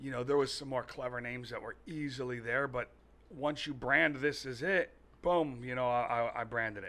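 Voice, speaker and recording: Bright and sharp in tone, a man with an American accent talks at a moderate pace with medium pitch. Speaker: furniture and mattress store owner. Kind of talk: podcast interview answer. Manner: casual, chatty.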